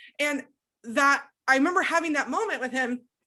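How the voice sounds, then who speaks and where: A bright, sharp voice speaks raised and projected at a moderate pace with ordinary pitch variation over a quiet background. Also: woman. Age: 20s. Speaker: abuse recovery coach and podcast host. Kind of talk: emotional personal testimony in coaching session.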